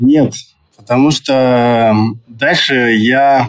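This is a man speaking at a medium pitch. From Yakutia, Russia. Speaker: businessman, surf centre founder. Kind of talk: interview. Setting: remote call from Dubai.

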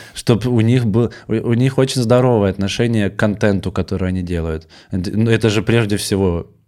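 Delivered at a fairly quick pace, this dark, mellow voice holds a fairly even intonation in a very clean recording with a silent background. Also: man, fairly low pitch for a man. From Russian village. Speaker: stand-up comedian. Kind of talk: casual chat. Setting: studio.

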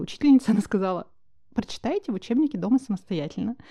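A woman's dark, mellow tone at a very fast pace against a quiet background. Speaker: podcast host, founder of menstrual hygiene brand. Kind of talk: casual chat.

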